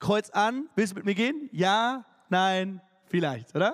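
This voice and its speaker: A man speaks in a high pitch with an animated tone and lively intonation. The recording is very clean, with a silent background. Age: 30s. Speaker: youth preacher. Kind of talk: sermon. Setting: church stage with audience.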